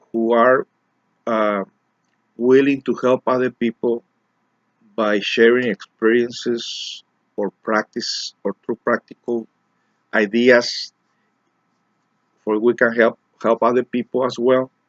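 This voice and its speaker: Speech in a Mexican accent moves at a very slow pace with long, frequent pauses and fairly even intonation. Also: man, medium pitch for a man. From Mexico, raised in Los Angeles. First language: Spanish. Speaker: community organizer and self-help speaker. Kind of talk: personal monologue to camera. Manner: halting, with repetitions and fillers.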